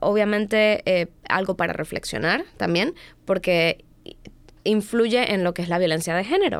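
Recorded very cleanly against a silent background, a woman speaks at a fairly slow pace with very even loudness and medium pitch in an ordinary speaking voice. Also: ordinary pitch variation. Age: 20s. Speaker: domestic violence advocate. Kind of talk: casual chat.

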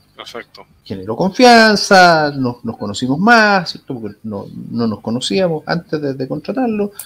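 With a Chilean accent, a man speaks at a fairly high pitch and a fairly slow pace, his pitch swinging very widely and his loudness shifting a lot, with hardly any pauses. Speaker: tech company executive. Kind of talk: interview. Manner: halting, many repetitions.

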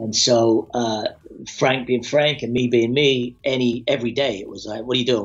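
This man talks with an English accent. His pace is moderate. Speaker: actor. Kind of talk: casual chat.

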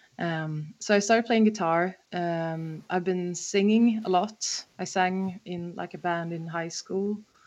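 A woman's fairly low voice at a very slow pace, fairly even in intonation, with hardly any pauses and a quiet background. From Sweden, Stockholm. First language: Swedish. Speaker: harmonica player and songwriter. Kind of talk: casual interview. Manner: hesitant, many fillers.

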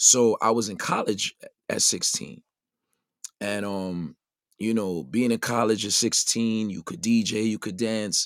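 In an American accent, a man speaks at a fairly slow pace and medium pitch with ordinary pitch variation, the sound dry and close with no echo. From Brooklyn, New York (Brownsville). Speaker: DJ and radio broadcaster. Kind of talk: casual interview chat.

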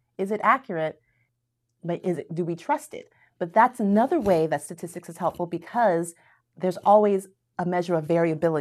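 On a very clean recording with a silent background, a woman with an American accent and a normal speaking voice speaks at a fairly low pitch with ordinary pitch variation and big swings in loudness. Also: fairly quick pace. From Florida, US. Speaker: math professor. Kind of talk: casual interview.

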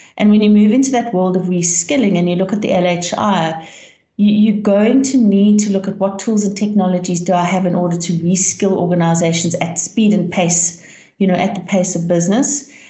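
Amid noticeable background noise, a woman speaks at a moderate pace with medium pitch and fairly even intonation. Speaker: learning consultant. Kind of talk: podcast interview.

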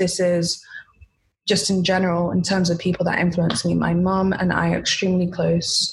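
A woman speaks in a London accent at a fairly quick pace. Her pitch is fairly low. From London, England. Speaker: skincare entrepreneur. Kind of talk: interview.

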